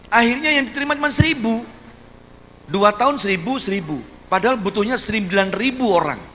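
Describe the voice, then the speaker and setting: Over noticeable background noise, a man speaks at a very fast pace in a raised, projected, high-pitched voice, animated in tone and lively in intonation. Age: 60s. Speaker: regional head of government. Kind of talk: public lecture to students. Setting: university auditorium with audience.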